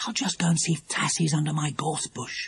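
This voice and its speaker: A man whispers and growls at a fairly quick pace. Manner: whispering.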